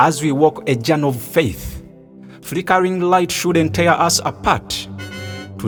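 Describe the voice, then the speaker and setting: There is music in the background. A man is speaking. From Uganda. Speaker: spoken word poet and environmental activist. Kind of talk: spoken word poetry performance.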